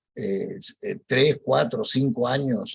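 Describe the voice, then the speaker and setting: Speaking at a fairly slow pace, a man with a medium pitch sounds somewhat breathy and makes very wide pitch swings. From Peru. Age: 70s. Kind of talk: testimony. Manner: halting.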